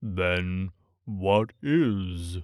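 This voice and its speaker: Someone performs a put-on character voice in a very clean recording with a silent background. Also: man. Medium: read story. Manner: slow, thoughtful.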